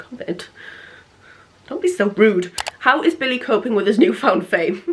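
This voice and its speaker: With an English accent, a woman speaks at a moderate pace, her pitch swinging very widely over noticeable background noise. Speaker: lifestyle vlogger. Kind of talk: casual chat.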